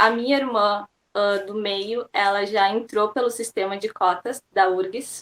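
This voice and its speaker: A woman with a plain, everyday voice, fairly high pitch and fairly even intonation. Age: 20s. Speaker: university student. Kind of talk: interview.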